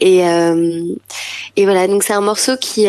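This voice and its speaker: A woman speaking at a fairly slow pace. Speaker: pop singer-songwriter. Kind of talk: interview answer.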